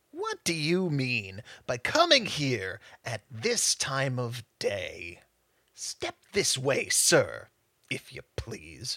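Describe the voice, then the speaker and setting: A put-on character voice, growling and gruff, low-to-middle in pitch, at a very slow pace. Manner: growling, gruff.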